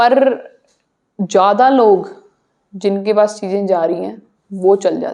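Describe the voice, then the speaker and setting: A woman with a Punjabi accent speaks at a medium pitch in a dark, mellow tone with fairly even intonation. Her loudness swings widely, and she leaves long, frequent pauses. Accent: Punjabi accent in Hindi. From Punjab, India. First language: Punjabi (speaking Hindi). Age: young. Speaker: social media content creator. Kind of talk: podcast interview.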